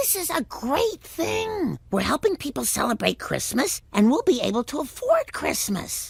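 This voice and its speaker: A cartoonish character voice, pitched high, moves at a moderate pace with hardly any pauses. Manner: gentle, disapproving.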